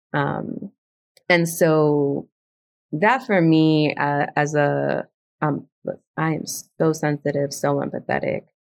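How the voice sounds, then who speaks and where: A woman with a Spanish accent, speaking at a very slow pace. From South Bronx, New York. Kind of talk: casual conversational interview.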